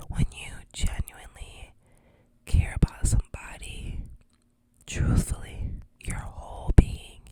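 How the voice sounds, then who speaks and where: A woman speaks in a whisper. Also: dry, close sound with no echo. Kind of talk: ASMR storytime ramble.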